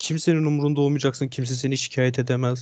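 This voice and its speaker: Here is a man with a normal speaking voice at medium pitch. His intonation is fairly even, and the background is quiet. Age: 20s. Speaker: gamer. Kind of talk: interview.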